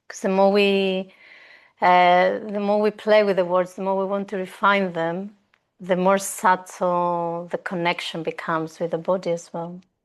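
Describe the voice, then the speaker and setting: Against a quiet background, a woman with a Greek accent speaks at a fairly slow pace in a medium pitch with monotone, flat intonation. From Greece. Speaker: somatic movement mentor. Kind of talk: interview conversation.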